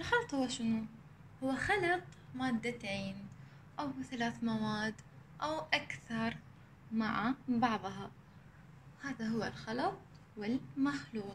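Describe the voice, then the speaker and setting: A woman at a very slow pace, with long, frequent pauses and light background noise. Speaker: primary school teacher. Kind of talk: recorded lesson for children. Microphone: phone near.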